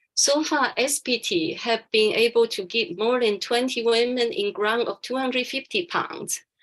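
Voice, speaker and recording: Moderate pace, ordinary pitch variation and hardly any pauses. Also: woman, high pitch for a woman. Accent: Taiwanese. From Taiwan. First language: Chinese. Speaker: charity founder and businesswoman. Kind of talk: webinar talk.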